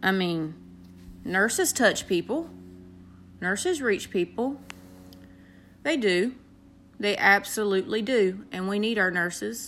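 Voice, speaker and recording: Speaking with a Southern US accent, a woman uses a warm tone, medium pitch and lively intonation at a fairly slow pace with long, frequent pauses. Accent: Southern US, country. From North Carolina, US South. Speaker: aspiring motivational speaker, nurse. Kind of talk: motivational personal monologue to an app audience. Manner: earnest, warm, encouraging.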